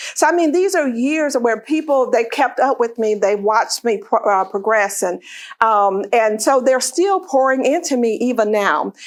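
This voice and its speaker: In a Southern US accent, a woman speaks high-pitched at a moderate pace, with lively intonation and very even loudness. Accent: Southern American. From US South, northwest Florida. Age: 60s. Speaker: author and leadership speaker. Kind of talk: talk to a luncheon audience.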